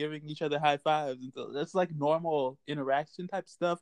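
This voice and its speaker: A man in a plain, everyday voice speaks with fairly even intonation, the sound dry and close with no echo over a quiet background. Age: 20s. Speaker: podcast co-host. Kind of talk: casual chat.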